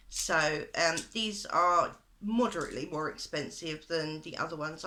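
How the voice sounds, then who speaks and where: A woman with a British accent has a bright, sharp tone and fairly even intonation. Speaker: beauty vlogger. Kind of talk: makeup tutorial / product review. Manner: hesitant, many fillers.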